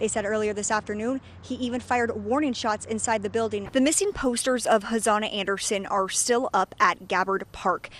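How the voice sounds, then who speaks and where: With a plain, everyday voice, this speaker moves at a fairly quick pace, showing ordinary pitch variation and hardly any pauses. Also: woman, fairly high pitch for a woman. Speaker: TV news anchor and reporter. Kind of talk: TV news anchor and reporter delivery.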